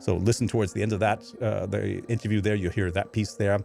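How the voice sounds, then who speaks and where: Over music in the background, a man with a fairly low pitch talks at a fairly quick pace with ordinary pitch variation. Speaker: podcast host. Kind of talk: podcast intro monologue. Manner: fast; casual, hesitant with many uh fillers.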